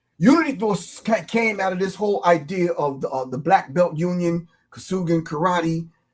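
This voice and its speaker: In a New York accent, the speaker keeps a moderate pace with hardly any pauses and ordinary pitch variation. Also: man, high pitch for a man. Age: 60s. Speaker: hip-hop artist and martial arts instructor. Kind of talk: casual interview.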